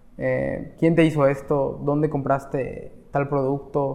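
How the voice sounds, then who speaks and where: Here a man speaks at a very slow pace. His pitch sits fairly high. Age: 20s. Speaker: barber. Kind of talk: interview.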